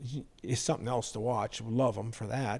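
With an American accent, a man speaks at a moderate pace in a medium-pitched voice, his dark, mellow tone carrying fairly even intonation. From US Midwest, northern Illinois. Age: 70s. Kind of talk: casual interview. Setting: in person at his shop.

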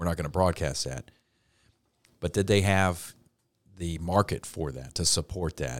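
A man speaks with a very deep, low pitch, an American accent and vocal fry, leaving long, frequent pauses as his loudness swings widely. The recording is very clean and dry, close with no echo, over a silent background. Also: ordinary pitch variation, moderate pace. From Ohio, Cincinnati. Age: 50s. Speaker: podcast co-host. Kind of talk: casual chat.

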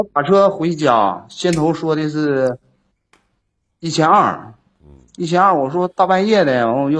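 This man has a plain, everyday voice with a fairly high pitch. He speaks at a moderate pace with lively intonation. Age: 30s. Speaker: caller seeking relationship advice. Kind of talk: call-in advice conversation.

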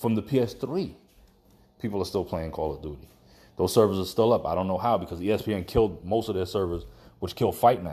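Very deep and low, a man's voice with a dark, mellow tone races at a very fast pace with ordinary pitch variation. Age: 30s. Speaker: podcast host. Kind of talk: casual solo commentary. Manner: stuttering.

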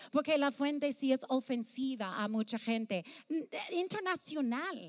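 A woman with a high pitch and lively intonation speaks at a fairly slow pace. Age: 50s. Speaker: pastor. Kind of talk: sermon. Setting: stage with audience. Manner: halting.

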